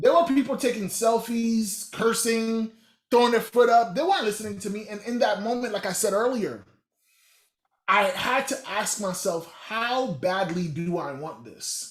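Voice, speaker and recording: A man with a Haitian accent, high pitch, animated tone, ordinary pitch variation and a moderate pace. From Haitian American, US. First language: Haitian Creole. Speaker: motivational speaker. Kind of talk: motivational workshop talk.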